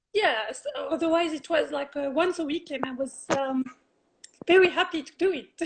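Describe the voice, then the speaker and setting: A woman with a French accent speaks at a high pitch with big swings in loudness. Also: ordinary pitch variation, moderate pace. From France. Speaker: health coach and Reiki practitioner. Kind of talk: interview. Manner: halting, many fillers.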